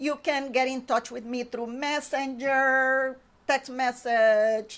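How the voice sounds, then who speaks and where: On a very clean recording with a silent background, a high-pitched woman with a Spanish accent speaks very slowly in a flat monotone. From Honduras. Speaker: painting instructor. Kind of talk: interview. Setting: studio.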